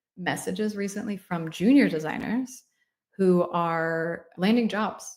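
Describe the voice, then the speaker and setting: A woman with an unremarkable speaking voice talks at a medium pitch with ordinary pitch variation. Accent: American. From United States. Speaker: UX design mentor, livestream host. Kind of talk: live Q&A stream. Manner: casual, conversational.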